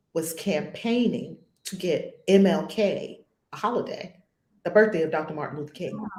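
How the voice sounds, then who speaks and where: A woman speaks with an American accent at medium pitch and a moderate pace, her intonation lively. Her tone is dark and mellow, somewhat breathy. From New York. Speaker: spiritual teacher. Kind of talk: casual chat.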